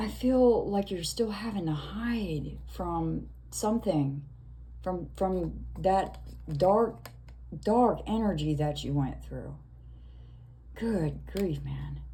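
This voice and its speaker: Audible room echo surrounds a woman who speaks at a very slow pace with long, frequent pauses. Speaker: tarot reader. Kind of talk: tarot reading monologue. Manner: slow, hesitant with fillers.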